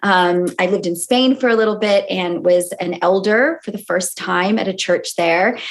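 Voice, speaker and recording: A woman with an American accent speaks at a medium pitch and a moderate pace. Her pitch varies in an ordinary way, with hardly any pauses. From US, California. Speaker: sociologist and author. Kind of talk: interview.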